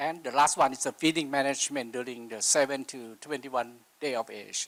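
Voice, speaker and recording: A man speaks at a medium pitch with fairly even intonation. His loudness rises and falls sharply. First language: not English. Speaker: livestock nutrition expert. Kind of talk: conference presentation. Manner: slow.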